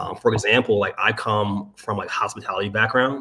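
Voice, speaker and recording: An ordinary speaking voice from a man with an American accent, medium in pitch, fairly even in intonation and at a fairly quick pace. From Maryland, US. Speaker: sales strategist. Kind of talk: casual interview chat. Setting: livestream.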